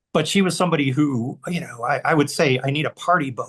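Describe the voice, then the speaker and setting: A somewhat breathy male voice at a fairly quick pace, with ordinary pitch variation. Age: 60s. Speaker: author and filmmaker. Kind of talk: casual chat. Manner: halting.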